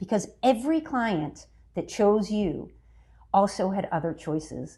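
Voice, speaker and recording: A woman speaks in a dark, mellow, somewhat breathy tone. Her pace is moderate and her pitch variation is ordinary. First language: Italian. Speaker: business consultant. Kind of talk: interview. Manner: frequent fillers and tag questions.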